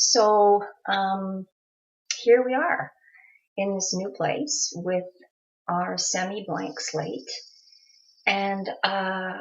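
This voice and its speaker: A somewhat breathy woman's voice at medium pitch and a very slow pace, with ordinary pitch variation and long, frequent pauses. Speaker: video blogger, abuse survivor. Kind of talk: personal vlog monologue. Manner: hesitant, many fillers.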